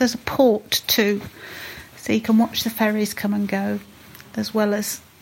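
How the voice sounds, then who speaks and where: A woman with a fairly high pitch talks in a monotone, flat way at a moderate pace amid noticeable background noise. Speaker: listener contributor, runner. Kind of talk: recorded audio message.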